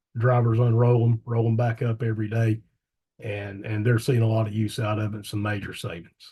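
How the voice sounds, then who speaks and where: A man speaks at a medium pitch in a somewhat breathy voice, dark and mellow in tone, with monotone, flat intonation. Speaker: electric co-op staff presenter. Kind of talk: webinar presentation. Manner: fast.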